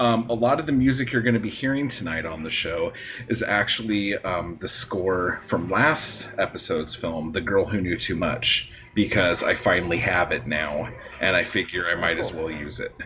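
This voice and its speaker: Against noticeable background noise, a man with a very deep, low voice speaks with lively intonation. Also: moderate pace. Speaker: podcast host. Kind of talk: casual comedic chat, movie review. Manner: jokey, profane, sarcastic.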